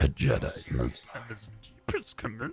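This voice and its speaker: A man puts on a croaky character voice at a moderate pace. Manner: wise-sounding.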